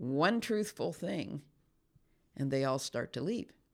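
Recorded very cleanly against a silent background, a woman speaks. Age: 70s. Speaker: former pastor and author. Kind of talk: casual interview conversation. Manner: outspoken.

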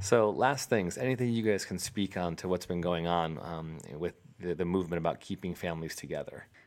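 A man's very deep, low voice at a fairly quick pace, with hardly any pauses, on a very clean recording with a silent background. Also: ordinary pitch variation. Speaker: podcast host. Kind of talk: casual conversational interview. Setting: home studio in living room.

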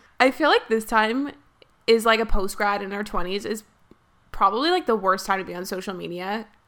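This woman's fairly high voice has a bright, sharp tone, ordinary pitch variation and big swings in loudness as she speaks at a fairly quick pace. The recording is very clean, with a silent background. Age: 20s. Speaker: podcast host. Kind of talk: casual chat.

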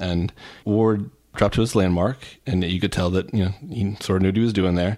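A man's plain, everyday voice, fairly low in pitch, on a very clean recording with a silent background. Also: fairly even intonation, fairly quick pace. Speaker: podcast co-host and sports writer. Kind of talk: casual sports podcast discussion.

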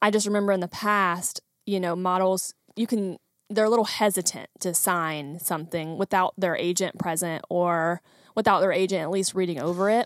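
A woman with an unremarkable speaking voice talks at a medium pitch and a moderate pace, with fairly even intonation. The sound is dry and close with no echo, in a very clean recording with a silent background. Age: 20s. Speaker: photographer and creative business owner. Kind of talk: casual chat.

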